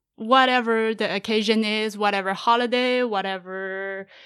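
A woman with a Chinese accent speaks at a moderate pace in a bright, sharp tone, her pitch fairly high. Her intonation is fairly even, in a very clean recording with a silent background. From central China. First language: Mandarin Chinese. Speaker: podcaster. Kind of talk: casual interview.

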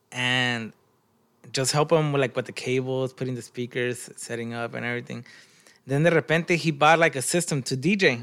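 In an American accent, a man speaks with an unremarkable speaking voice, a medium pitch, ordinary pitch variation and a moderate pace, on a very clean recording with a silent background. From Long Beach, California. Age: 20s. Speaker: band manager and former DJ. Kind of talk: casual chat.

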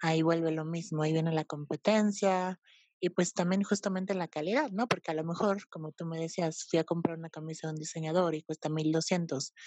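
A woman with a normal speaking voice talks at a fairly quick pace, with a fairly low pitch and fairly even intonation. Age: 20s. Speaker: art historian and fashion stylist. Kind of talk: casual chat.

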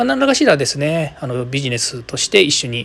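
A man's fairly high voice at a very fast pace against noticeable background noise. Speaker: podcast host. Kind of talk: solo podcast monologue.

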